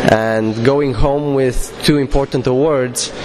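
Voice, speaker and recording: A man with a Romanian accent at a very slow pace, with audible room echo and noticeable background noise. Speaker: public speaking contest winner. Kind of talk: interview. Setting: interview room at a conference.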